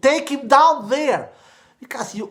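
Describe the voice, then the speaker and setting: A man speaks in an animated tone with a non-native accent. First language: not English. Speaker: tennis YouTuber. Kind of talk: solo video commentary.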